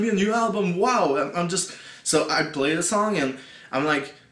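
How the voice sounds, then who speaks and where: Speaking at a moderate pace, a man with a high pitch and lively intonation is heard over noticeable background noise and audible room echo. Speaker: music reviewer, YouTuber. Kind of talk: casual video review. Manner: halting, many fillers and repeats.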